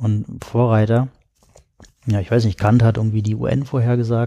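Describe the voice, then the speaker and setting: A man speaks at a moderate pace with a fairly low pitch and a dark, mellow tone. The background is quiet. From Berlin, Germany. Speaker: writer and tech philosopher. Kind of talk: casual chat. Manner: halting.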